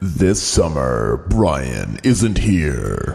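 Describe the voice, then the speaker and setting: A man puts on a character voice. His pitch sits very deep and low. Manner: dramatic, booming, comedic.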